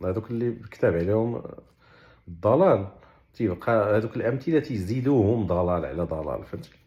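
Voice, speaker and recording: A man talks at a moderate pace in a fairly low, somewhat breathy voice with lively intonation. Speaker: Quran explainer. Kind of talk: religious explanation in colloquial dialect. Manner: casual, conversational.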